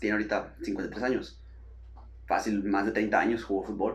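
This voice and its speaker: A man's medium-pitched voice with ordinary pitch variation and audible room echo. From Mexico, Sonora (Hermosillo). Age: 20s. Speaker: physiotherapist. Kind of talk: casual chat.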